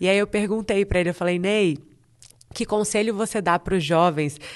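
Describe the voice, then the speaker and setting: A woman talks in a plain, everyday voice at a moderate pace. Her intonation stays fairly even over a quiet background. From Brazil, Espírito Santo (Vitória). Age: 30s. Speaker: TV presenter and journalist. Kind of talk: casual interview chat.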